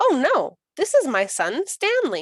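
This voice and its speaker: A woman's put-on character voice, squeaky and extremely high in pitch, at a fairly slow pace. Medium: read story.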